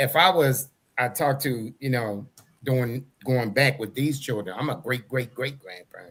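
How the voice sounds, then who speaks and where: This is an unremarkable speaking voice. It has ordinary pitch variation and a moderate pace. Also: man, medium pitch for a man. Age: 60s. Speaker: talk show co-host, army veteran. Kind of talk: casual interview chat.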